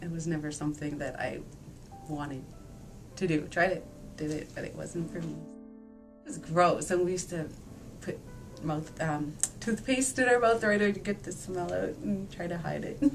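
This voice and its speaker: With music in the background, a woman of fairly low pitch talks with long, frequent pauses. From Nain, Labrador, Canada. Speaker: interviewee. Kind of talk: interview answer.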